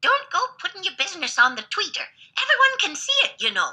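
A female-sounding, put-on character voice races at a very fast pace, extremely high in pitch with very wide pitch swings.

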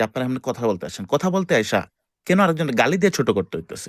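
This man's voice has vocal fry and very wide pitch swings. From Bangladesh, Dhaka. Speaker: voice chat room participant. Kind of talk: heated debate. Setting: online voice chat room.

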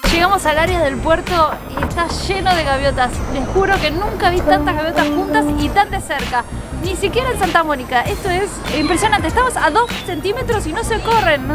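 A woman at a fairly quick pace, dry with no echo, with clear music in the background. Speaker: travel vlogger. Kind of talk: casual vlog chat. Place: waterside. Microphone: phone near.

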